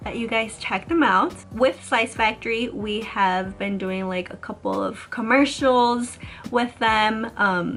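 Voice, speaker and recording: A woman's fairly high-pitched voice in a Chicago-area accent at a very slow pace, with music in the background. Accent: Chicago-area American English. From US Midwest, Chicago suburbs (Illinois). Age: 20s. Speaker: YouTuber. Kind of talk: casual vlog talk. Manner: animated.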